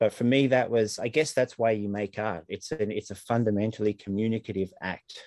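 The sound is dry and close with no echo. A man uses an ordinary speaking voice with fairly low pitch. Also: very clean recording, silent background. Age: 40s. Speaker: comics artist and author. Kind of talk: interview.

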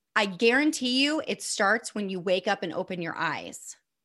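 Speaking at a moderate pace with a Midwestern American accent, a woman has a medium pitch, lively intonation and a bright, sharp tone. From US Midwest, northeast Indiana. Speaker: former teacher, burnout coach. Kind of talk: casual interview.

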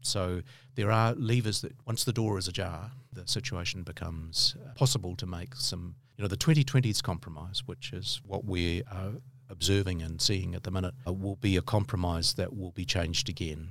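With a New Zealand accent, a man speaks at a moderate pace in a fairly low, somewhat breathy voice. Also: ordinary pitch variation. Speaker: law professor. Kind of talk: interview.

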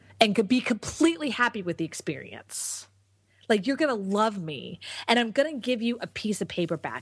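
A woman with an American accent speaks fairly quickly at a medium pitch, somewhat breathy, with very wide pitch swings, in front of a quiet background. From Texas. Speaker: entrepreneur and business coach. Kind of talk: interview.

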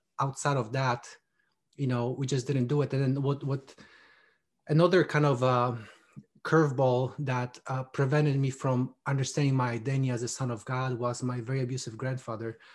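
A man speaks at a medium pitch in monotone, flat intonation. His voice is somewhat breathy, and the background is quiet. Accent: Polish. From Poland. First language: Polish. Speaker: army veteran and men's ministry author. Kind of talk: interview, faith testimony. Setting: video call.

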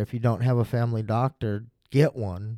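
A man with a plain, everyday voice, medium in pitch, speaks at a moderate pace with fairly even intonation in a very clean recording with a silent background and a dry, close sound with no echo. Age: 40s. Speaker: interviewee sharing mental health story. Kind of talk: personal testimony interview. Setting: studio.

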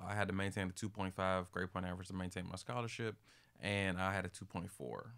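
With an American accent, a man speaks very fast in a very deep, low voice with fairly even intonation. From US, Maryland. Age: 30s. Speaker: mental health advocate and speaker. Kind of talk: interview.

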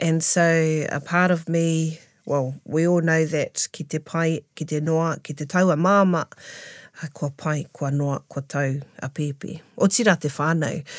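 On a very clean recording with a silent background, a woman speaks with a very deep, low pitch and fairly even intonation. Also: fairly slow pace. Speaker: taonga pūoro practitioner. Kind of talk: casual interview.

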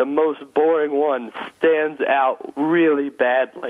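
The speaker is a man with a fairly high pitch. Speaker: stand-up comedian and corporate speaker. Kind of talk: casual interview. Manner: loud.

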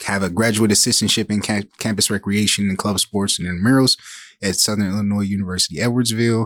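On a very clean recording with a silent background, a man with an American accent and a fairly low pitch talks at a very fast pace with fairly even intonation. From Saginaw, Michigan, US. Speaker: diversity director for a football team. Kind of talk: interview.

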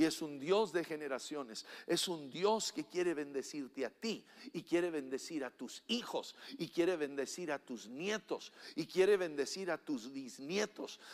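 This man has an animated tone and lively intonation. He talks at a fairly slow pace. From Mexico. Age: 60s. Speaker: pastor. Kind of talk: sermon. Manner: halting.

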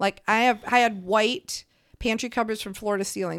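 A woman with an unremarkable speaking voice talks at a fairly high pitch, with ordinary pitch variation. The sound is dry and close with no echo, in a very clean recording with a silent background. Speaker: guest, mother-in-law of co-host. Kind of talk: casual interview, personal testimony.

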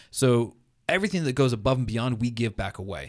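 A man with an ordinary speaking voice talks at a fairly quick pace and medium pitch. The recording is very clean and the background silent. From New England, US (New Hampshire). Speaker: Lutheran pastor. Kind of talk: casual interview.

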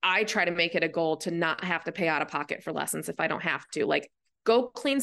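A woman speaks with an American accent in a bright, sharp tone, her intonation lively. Vocal fry shows up as she moves at a fairly quick pace. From rural Michigan. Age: 30s. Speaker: equestrian and tech startup worker. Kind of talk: interview.

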